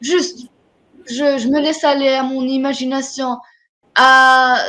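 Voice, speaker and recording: Her pitch high, a woman speaks with an Arabic accent. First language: Arabic (speaking French). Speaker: writer. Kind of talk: interview. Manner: halting.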